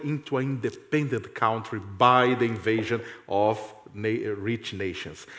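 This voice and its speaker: Over noticeable background noise, a man with a Portuguese accent speaks at a moderate pace. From Brazil. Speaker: journalist and professor. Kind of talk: reading a prepared text on a panel.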